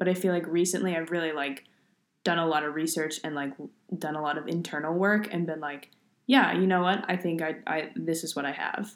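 A woman's fairly low-pitched, normal speaking voice, with fairly even intonation and a fairly quick pace. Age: 20s. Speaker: podcast co-host. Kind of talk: casual chat.

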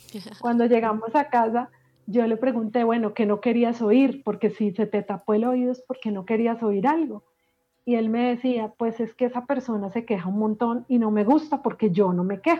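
A woman with a fairly high pitch and an ordinary speaking voice speaks at a moderate pace with fairly even intonation. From Colombia, Medellín. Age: 40s. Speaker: life coach and emotional healing expert. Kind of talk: podcast interview.

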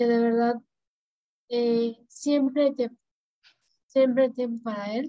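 A woman's fairly high, monotone voice with flat intonation at a fairly slow pace. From Tampico, Tamaulipas, Mexico. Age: 30s. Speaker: dentist and church keyboard player. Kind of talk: casual faith conversation, personal testimony.

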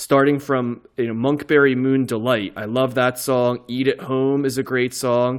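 At a moderate pace, a normal speaking voice with an American accent comes through on a very clean recording with a silent background. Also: man. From New Jersey. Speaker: podcast host. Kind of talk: casual chat.

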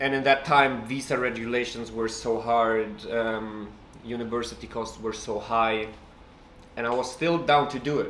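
A Russian accent at a moderate pace, with fairly even intonation and audible room echo. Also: man, medium pitch for a man. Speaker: writer. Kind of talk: casual chat.

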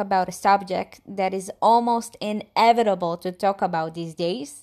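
Here is a woman with an ordinary speaking voice and ordinary pitch variation. She talks at a moderate pace on a very clean recording with a silent background. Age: 20s. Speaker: student. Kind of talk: scripted monologue.

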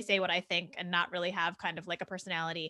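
A woman with an American accent, very fast pace, bright, sharp tone, quiet background. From New Jersey. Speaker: podcast host and science journalist. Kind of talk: interview.

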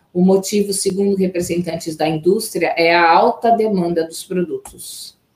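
Using a normal speaking voice, a woman at medium pitch speaks at a moderate pace with fairly even intonation and hardly any pauses. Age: 40s. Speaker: journalist, news co-anchor. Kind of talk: news reading.

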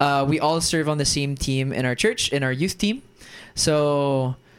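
With an American accent, a man speaks at a moderate pace with fairly even intonation. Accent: American-sounding. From Germany. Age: 20s. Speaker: actor and entrepreneur. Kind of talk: casual chat.

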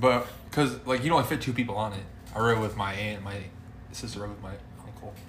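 A man's fairly low voice at a very fast pace, with long, frequent pauses, big swings in loudness and ordinary pitch variation, amid audible room echo and noticeable background noise. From US Midwest, central Illinois. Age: 20s. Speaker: podcast co-host. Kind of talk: casual chat.

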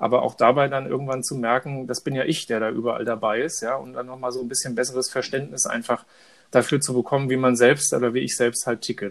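Talking at a very fast pace, a man keeps a medium pitch with monotone, flat intonation. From Frankfurt am Main, Hesse. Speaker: podcast co-host. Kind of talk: casual chat.

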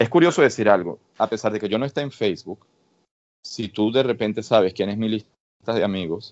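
Talking very fast, a man uses a fairly low voice with ordinary pitch variation. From Venezuela. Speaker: researcher. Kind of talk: interview.

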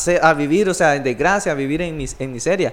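A man is speaking. His pace is fairly quick. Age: 20s. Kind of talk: casual religious discussion.

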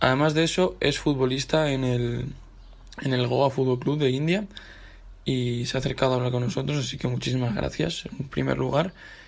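Moderate pace and medium pitch from a somewhat breathy man, with ordinary pitch variation. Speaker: university radio host. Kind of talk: casual chat.

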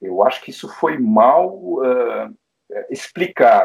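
A man talks at a very slow pace. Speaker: pediatric intensive care doctor. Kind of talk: interview panel discussion. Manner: hesitant with filler sounds.

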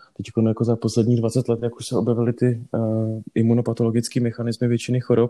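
The recording is dry and close, with no echo, as a man talks very fast. His tone is dark and mellow, his intonation monotone and flat. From northern Bohemia, Czech Republic (Varnsdorf). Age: 30s. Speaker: dermatologist. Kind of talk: interview.

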